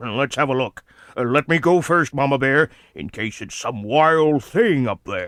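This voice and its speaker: A man puts on a gruff character voice at a fairly high pitch. He speaks at a moderate pace with lively intonation and big swings in loudness. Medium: audio drama.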